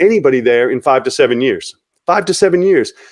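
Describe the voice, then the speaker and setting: With an American accent, a man talks in a high pitch with ordinary pitch variation. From Long Island, New York. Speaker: real estate investor. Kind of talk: podcast interview.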